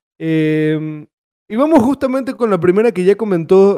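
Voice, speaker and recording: The recording is dry and close with no echo, carrying a man's dark, mellow tone and lively intonation. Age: 20s. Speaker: gaming podcast host. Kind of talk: casual chat.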